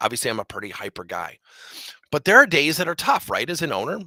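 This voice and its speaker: A man talks at a very fast pace in a bright, sharp, energetic and animated tone with vocal fry, and the sound is dry and close with no echo. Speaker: business owner and motivational speaker. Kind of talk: motivational presentation. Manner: energetic, hyper.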